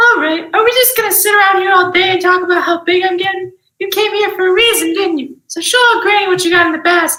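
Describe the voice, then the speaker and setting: A squeaky put-on character voice at an extremely high pitch races along at a very fast pace with hardly any pauses and a slight echo. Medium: stage play.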